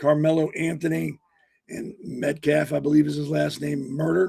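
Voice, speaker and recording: A man speaks in a somewhat breathy, fairly high-pitched voice. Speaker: podcast host. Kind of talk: casual podcast commentary. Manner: halting, with many fillers.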